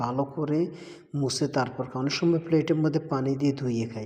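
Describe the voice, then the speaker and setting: A man speaks in a fairly high voice with a dark, mellow tone. His delivery is somewhat breathy, with ordinary pitch variation. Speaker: migrant worker vlogger. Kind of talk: casual vlog. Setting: at home at mealtime.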